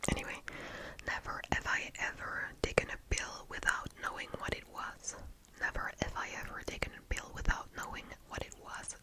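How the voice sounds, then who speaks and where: A whispering woman at a moderate pace, relaxed in tone, with big swings in loudness and noticeable background noise. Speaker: ASMR talking creator. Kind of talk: ASMR whispered ramble, reading questions and answering. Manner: soft, relaxed, hesitant with filler words and non-native English.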